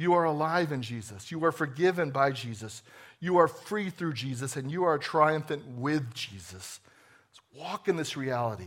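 A man with an American accent has an unremarkable speaking voice and a fairly high pitch. He talks at a moderate pace with lively intonation. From New Jersey. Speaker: executive pastor. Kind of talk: sermon. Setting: church.

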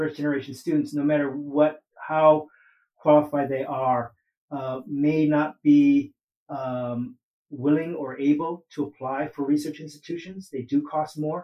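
A man speaks at a moderate pace. His pitch is fairly high and his tone dark and mellow. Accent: American. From US West Coast, Oakland, California. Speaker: ethnic studies professor. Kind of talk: interview. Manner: halting, many fillers.

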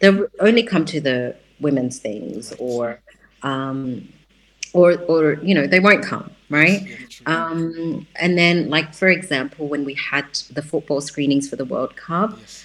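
A woman's very deep, low voice with an Australian accent, lively intonation, big swings in loudness and a fairly slow pace. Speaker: writer and educator, community center founder. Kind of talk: interview. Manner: hesitant, many fillers.

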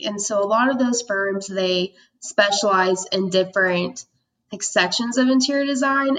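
A woman with an American accent has an unremarkable speaking voice. She talks at a moderate pace. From Oklahoma, Tulsa. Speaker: design student. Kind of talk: interview.

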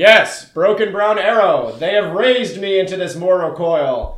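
A man's put-on character voice, pitched high. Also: moderate pace. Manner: grandiose, formal.

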